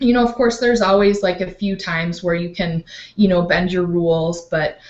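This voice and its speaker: A woman uses a normal speaking voice at medium pitch. She keeps a moderate pace with ordinary pitch variation. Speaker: life coach. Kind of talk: online training talk.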